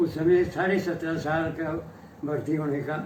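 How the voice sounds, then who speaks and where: Fairly high in pitch and fairly even in intonation, a man's voice comes through noticeable background noise. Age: 80s+. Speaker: retired army captain, war veteran. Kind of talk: interview answer.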